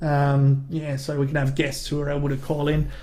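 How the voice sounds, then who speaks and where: With a strong Australian accent, a man speaks at a fairly quick pace, and audible room echo surrounds his voice. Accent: broad Australian. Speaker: comedy YouTuber and podcast host. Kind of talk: casual live-stream chat. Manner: casual, sweary.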